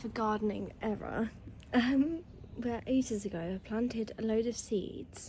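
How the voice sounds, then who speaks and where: A woman with an English accent speaks at a fairly slow pace, her fairly high voice somewhat breathy. The tone is dark and mellow, with ordinary pitch variation. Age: 20s. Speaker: lifestyle vlogger. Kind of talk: casual vlog talk to camera.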